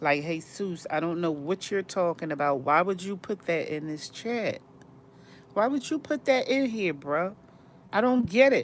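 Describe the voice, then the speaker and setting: A woman speaks in an animated tone at a medium pitch, with very wide pitch swings. Her pace is moderate. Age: 50s. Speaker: live-stream vlogger. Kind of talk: casual live-stream chat. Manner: animated, repetitive.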